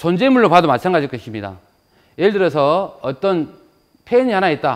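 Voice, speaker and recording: Moving fairly briskly, a high-voiced man lets his pitch leap across a very broad range. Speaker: philosophy lecturer, research professor. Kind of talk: public lecture.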